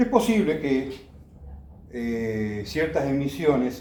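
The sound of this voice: In a strongly echoing room, a man speaks slowly at a medium pitch with a dark, mellow tone and big pitch swings.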